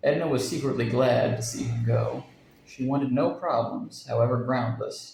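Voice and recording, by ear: Read aloud in a natural voice, the passage moves with fairly even intonation.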